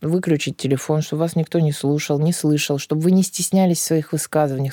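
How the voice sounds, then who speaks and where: Recorded with a dry, close sound and no echo, a woman speaks in a dark, mellow tone. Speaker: psychologist. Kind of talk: interview. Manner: animated.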